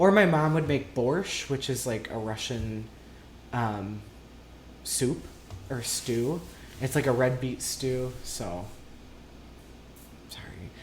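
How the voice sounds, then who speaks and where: Audible room echo carries a man's medium-pitched voice with an American accent and lively intonation. He speaks very slowly, with long, frequent pauses. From US Midwest, southern Minnesota. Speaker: interviewee. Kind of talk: casual interview.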